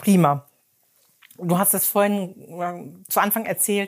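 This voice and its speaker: A woman talks with fairly even intonation. The recording is very clean, and the background is silent. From Emsland, Germany. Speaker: podcast host. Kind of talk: interview. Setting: in a shop.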